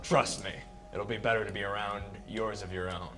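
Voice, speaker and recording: A man's put-on character voice, fairly low in pitch and at a fairly quick pace, with clear music in the background. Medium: actual play.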